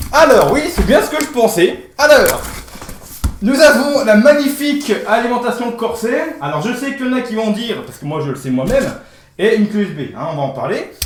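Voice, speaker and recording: The pitch swings very widely and the loudness rises and falls sharply. Noticeable background noise and audible room echo fill the recording. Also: man, extremely high pitch for a man. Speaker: tech YouTuber. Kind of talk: unboxing video. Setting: indoor room with echo. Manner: fast; hesitant, many fillers. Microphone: echo in the room.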